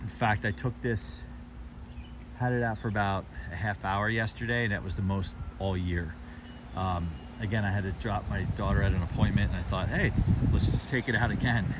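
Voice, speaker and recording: Relaxed in tone, a man with a fairly low pitch talks at a fairly quick pace, his intonation lively and broken by long, frequent pauses. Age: 40s. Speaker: car owner giving a walkaround. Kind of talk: casual vehicle walkaround. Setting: outdoors near a busy road. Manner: hesitant, many fillers.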